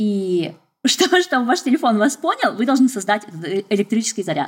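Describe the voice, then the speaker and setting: Fairly quick and somewhat breathy, a woman speaks at a fairly high pitch. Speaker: scientist and podcaster. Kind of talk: casual chat.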